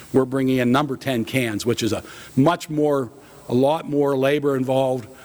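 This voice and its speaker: A man speaks with a Pennsylvania accent. His pitch sits in the medium range. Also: fairly even intonation, moderate pace. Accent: Pennsylvania American. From central Pennsylvania (Blair County). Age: 60s. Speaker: food company president. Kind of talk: keynote talk. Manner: casual with many fillers.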